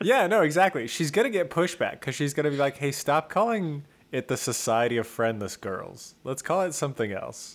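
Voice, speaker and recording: A man with an American accent at a fairly high pitch, moderate pace, hardly any pauses and very wide pitch swings. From rural California. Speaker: podcast co-host. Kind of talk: casual chat.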